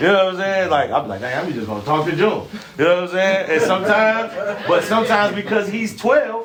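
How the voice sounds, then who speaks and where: A man talks loudly and very fast at a high pitch, with ordinary pitch variation. Noticeable background noise and audible room echo surround him. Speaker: podcast co-host. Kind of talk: casual chat.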